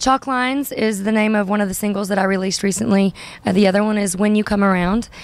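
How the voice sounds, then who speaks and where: A woman talks very fast, her pitch medium and her intonation fairly even. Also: very even loudness. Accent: Southern US. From US South, Arkansas (Hot Springs). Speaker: singer-songwriter. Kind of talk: interview. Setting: music venue.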